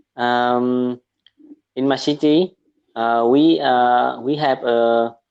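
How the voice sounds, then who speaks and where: A man's medium-pitched, monotone voice with flat intonation and a Vietnamese accent. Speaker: medical student, English learner. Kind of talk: casual chat. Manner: halting, many fillers.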